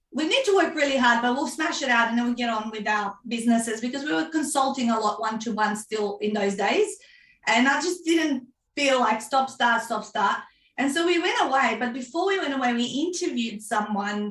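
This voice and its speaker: A Macedonian accent, a fairly quick pace and lively intonation. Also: woman, high pitch for a woman. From North Macedonia. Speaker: author and book coach. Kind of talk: interview.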